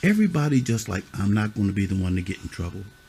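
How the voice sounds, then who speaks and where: Over noticeable background noise, a man speaks very fast at a fairly low pitch. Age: old. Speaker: youth mentor. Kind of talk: stern lecture to kids. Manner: loud; animated.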